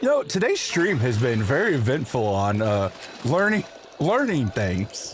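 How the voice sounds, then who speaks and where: With an American accent, a man at medium pitch talks fairly slowly with very wide pitch swings and very even loudness over noticeable background noise. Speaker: video game streamer. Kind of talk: casual livestream chat with chat readers. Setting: live stream. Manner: stammering, repeats words.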